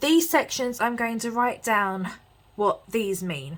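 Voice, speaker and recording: Here a woman speaks with an English accent and lively intonation. Her pace is very slow. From England. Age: 20s. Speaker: lifestyle vlogger and psychology student. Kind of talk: chatty planner tutorial vlog. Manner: casual, lots of fillers.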